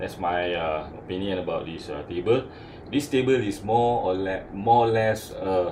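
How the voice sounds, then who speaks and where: Ordinary pitch variation comes through over audible room echo. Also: man. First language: not English. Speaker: hobbyist tool reviewer. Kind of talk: casual product review. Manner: halting, many fillers.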